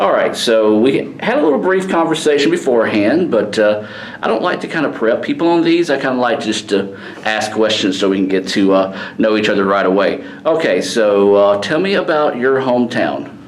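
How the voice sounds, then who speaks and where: Fairly quick speech in a Mississippi accent, with very wide pitch swings, very even loudness, audible room echo and noticeable background noise. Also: man, medium pitch for a man. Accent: Mississippi Southern US. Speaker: radio show host. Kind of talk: casual interview.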